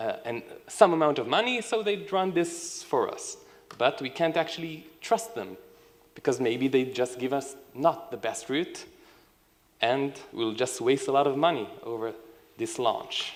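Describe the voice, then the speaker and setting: A man talks at a fairly slow pace. His fairly high pitch swings very widely. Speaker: software engineering team lead. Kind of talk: conference talk.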